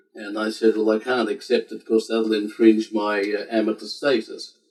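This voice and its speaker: A man at medium pitch with an Australian accent and flat, monotone intonation. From Australia, Sydney. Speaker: civil war historian and collector. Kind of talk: interview. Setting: home library.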